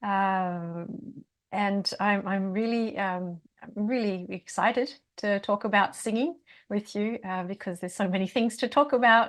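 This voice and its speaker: Over a quiet background, the speaker talks at a fairly slow pace with a slight Australian accent. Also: woman, medium pitch for a woman, ordinary pitch variation. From Australia, Tasmania. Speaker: singer and yoga teacher. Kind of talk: podcast interview. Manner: halting, many fillers.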